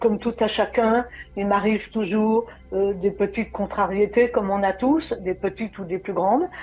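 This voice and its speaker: This is a woman's voice at medium pitch. Her intonation stays fairly even. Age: 60s. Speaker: program client. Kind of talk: testimony. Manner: halting.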